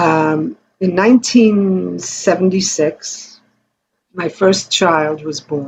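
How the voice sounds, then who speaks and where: Pitch varies in an ordinary way as the talking proceeds at a very slow pace. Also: woman, fairly low pitch for a woman. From US. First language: Yiddish. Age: 70s. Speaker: Holocaust survivor's child and singer. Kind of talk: interview.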